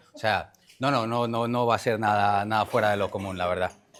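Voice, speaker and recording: A man speaks at a fairly quick pace with fairly even intonation. The recording is very clean, and the background is silent. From Colombia. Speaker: chef. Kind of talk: talk explaining a recipe. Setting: conference with audience.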